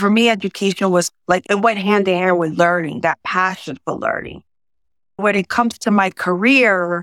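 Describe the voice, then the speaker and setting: A woman speaks at a medium pitch. The recording is very clean and dry, with a silent background and a close sound with no echo. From South Bronx, New York City, Puerto Rican family. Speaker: executive and mentor. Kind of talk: podcast interview.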